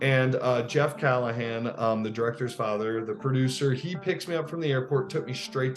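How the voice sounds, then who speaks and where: Music plays in the background. A man speaks with lively intonation and hardly any pauses. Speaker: actor. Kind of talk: interview. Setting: podcast.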